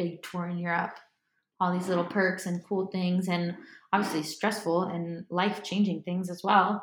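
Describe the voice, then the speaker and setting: In an American accent, the somewhat breathy speaker goes at a fairly slow pace with a monotone, flat intonation. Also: woman. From Miami, Florida. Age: 20s. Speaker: singer-songwriter. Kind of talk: casual chat. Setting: living room at home.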